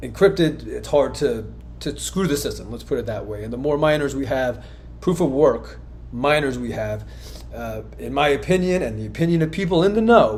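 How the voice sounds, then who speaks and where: A man's loudness swings widely, and audible room echo surrounds his voice. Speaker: crypto commentator, former company owner. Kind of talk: video monologue on crypto markets. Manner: fast.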